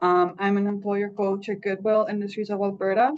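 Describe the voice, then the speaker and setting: A woman speaks at a medium pitch. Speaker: employer coach. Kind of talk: presentation.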